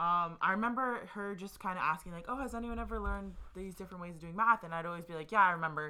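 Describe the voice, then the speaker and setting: In a very clean recording with a silent background, a woman with an American accent talks at a very fast pace with hardly any pauses, her fairly low pitch showing ordinary variation and a bright, sharp tone. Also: big swings in loudness. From USA. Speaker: co-host. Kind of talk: casual chat.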